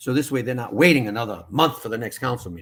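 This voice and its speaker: The speaker is a man. There is a somewhat breathy quality to his voice. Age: 60s. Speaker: town mayor. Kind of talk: interview.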